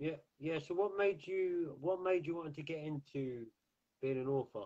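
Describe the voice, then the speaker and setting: A man in an English accent, with a fairly high pitch and a dark, mellow tone, talks at a moderate pace with ordinary pitch variation. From England. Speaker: talk show host. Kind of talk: interview. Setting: live online video stream.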